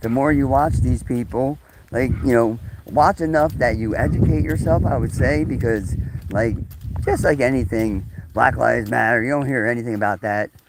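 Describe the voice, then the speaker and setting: A man talks at a moderate pace with lively intonation and a medium pitch. Noticeable background noise runs underneath. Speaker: live streamer. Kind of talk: casual live stream monologue. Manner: halting, many fillers.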